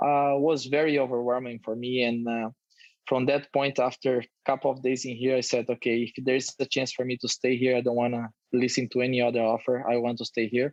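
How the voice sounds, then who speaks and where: A man in a Brazilian Portuguese accent, medium pitch, monotone and flat in intonation, at a fairly quick pace, with a dry, close sound and no echo. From Brazil, countryside. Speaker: professional footballer. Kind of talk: interview. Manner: halting with fillers.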